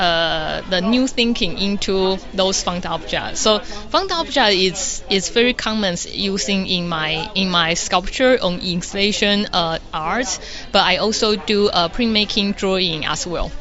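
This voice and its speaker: A woman with a Taiwanese accent, medium pitch and ordinary pitch variation, talking at a fairly slow pace with hardly any pauses over noticeable background noise. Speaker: environmental artist. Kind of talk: interview answers. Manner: halting.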